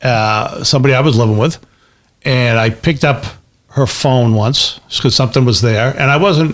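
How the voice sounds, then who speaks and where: A man's medium-pitched voice at a moderate pace, with ordinary pitch variation and very even loudness. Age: 60s. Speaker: comedian and podcast co-host. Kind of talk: casual chat. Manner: halting, repeats words.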